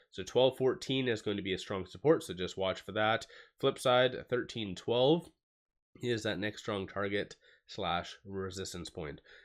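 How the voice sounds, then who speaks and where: A man puts on a raspy character voice, fairly low in pitch with ordinary pitch variation, at a moderate pace in a very clean recording with a silent background. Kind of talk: fast, professional stock market talk.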